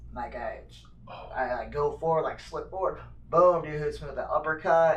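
Audible echo fills the room around this voice. The speaker has an American accent and talks at a moderate pace. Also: man. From Phoenix, Arizona. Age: 30s. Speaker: mixed martial arts fighter. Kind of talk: casual chat.

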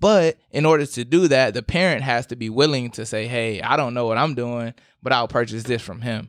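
On a very clean recording with a silent background, a man uses an ordinary speaking voice at medium pitch, with ordinary pitch variation and a fairly quick pace. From South Carolina, Aiken. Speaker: financial advisor. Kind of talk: casual chat. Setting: studio.

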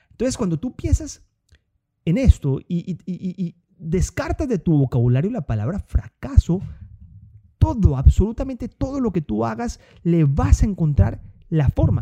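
Speaking at a fairly slow pace with long, frequent pauses, a man has a high pitch and a dark, mellow tone, his pitch swinging very widely. The sound is dry and close, with no echo. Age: 30s. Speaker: podcast host, entrepreneur. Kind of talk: motivational monologue. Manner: hesitant with filler words and repetitions.

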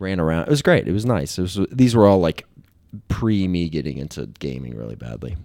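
A man with a very deep, low pitch and an American accent at a fairly quick pace, on a very clean recording with a silent background. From western Kentucky, US. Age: 20s. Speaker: entrepreneur. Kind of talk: casual chat.

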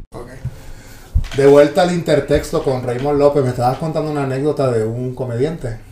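Over noticeable background noise, a man with a fairly high pitch talks at a fairly quick pace, his intonation fairly even but his loudness swinging widely. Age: 40s. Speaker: podcast host. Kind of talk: casual chat.

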